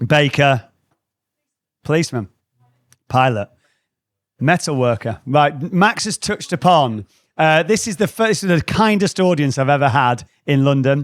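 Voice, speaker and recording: An animated man with a northern English accent, fairly high pitch, lively intonation, a moderate pace and long, frequent pauses, dry and close with no echo on a very clean recording with a silent background. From northwest England. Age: 40s. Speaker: creativity trainer. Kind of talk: live talk to an audience. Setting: stage with audience.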